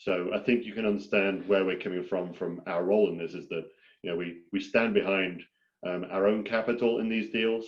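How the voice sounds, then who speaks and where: In a British accent, a man speaks at a fairly quick pace with a fairly low pitch and fairly even intonation. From Britain. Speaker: farmland investor. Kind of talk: webinar presentation.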